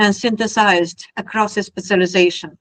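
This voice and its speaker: Spoken at a moderate pace with a strong Russian accent, the voice keeps a fairly even intonation. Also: woman. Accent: heavy Russian. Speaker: technology speaker. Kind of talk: presentation talk.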